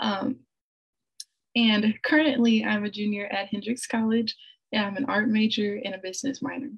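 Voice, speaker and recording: A woman's somewhat breathy, fairly high voice at a moderate pace, with fairly even intonation, long, frequent pauses and a quiet background. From Little Rock, Arkansas; Arkansas. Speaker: artist; presenter. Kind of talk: presentation. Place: home room. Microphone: video call.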